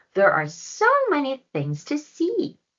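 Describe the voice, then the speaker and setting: The speaker uses a put-on character voice with a high pitch. The pace is fairly slow. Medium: read story. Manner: warm, encouraging.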